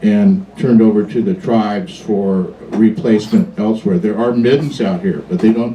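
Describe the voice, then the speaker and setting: With an American accent, a man speaks with very wide pitch swings and hardly any pauses. Noticeable background noise runs underneath. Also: medium pitch for a man, moderate pace. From US Pacific Northwest, Washington. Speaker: museum docent. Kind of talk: public talk to a live audience. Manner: casual, with fillers.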